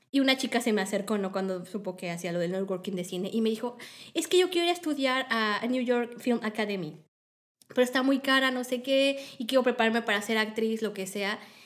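A woman's fairly high-pitched voice at a fairly quick pace, with ordinary pitch variation. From Mexico. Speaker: film industry organizer. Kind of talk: interview.

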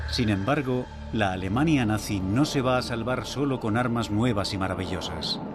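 A solemn, dramatic tone at a moderate pace, with very even loudness, ordinary pitch variation, and music in the background. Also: man, medium pitch for a man. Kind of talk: documentary narration. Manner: solemn, dramatic, measured; ominous, gripping storytelling.

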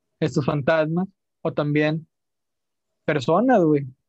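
With a Mexican accent, a man talks at a fairly high pitch in a dry, close sound with no echo. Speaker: podcast host. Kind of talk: storytelling; casual chat.

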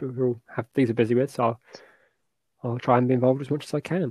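A man's fast, medium-pitched voice with a slightly mellow tone, a slightly husky edge and fairly even intonation.

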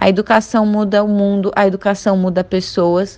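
A woman talks at a fairly slow pace. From Florianópolis, southern Brazil. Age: 20s. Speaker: doctoral student and activist. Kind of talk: podcast interview.

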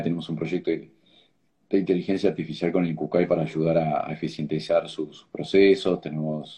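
A man speaks at a moderate pace in a very deep, low pitch with a dark, mellow tone and vocal fry. His pitch variation is ordinary. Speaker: organ donation advocate, tech entrepreneur. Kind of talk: interview. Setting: video call. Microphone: choppy connection.

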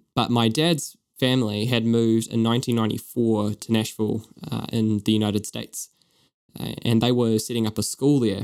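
Speaking at medium pitch with a New Zealand accent, a man delivers his words in a monotone, flat intonation. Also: moderate pace. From New Zealand, East Auckland. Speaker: podcast co-host. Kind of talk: casual chat.

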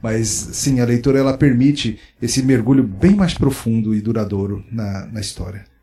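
A man's somewhat breathy voice with a dark, mellow tone at medium pitch, with ordinary pitch variation, a moderate pace and hardly any pauses. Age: 40s. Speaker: pastor and author. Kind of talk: interview conversation. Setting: book fair recording.

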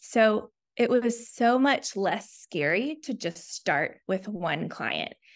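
A woman with an American accent speaks very slowly in a fairly high voice, using vocal fry and lively intonation. The recording is very clean, with a silent background. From US South, Chattanooga, Tennessee. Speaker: speech therapist, practice owner. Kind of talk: interview.

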